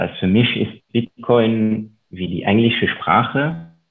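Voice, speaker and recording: A man speaks at a very slow pace in a fairly low pitch. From Luxembourg. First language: Luxembourgish (speaking German). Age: 30s. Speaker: investor and author. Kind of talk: interview.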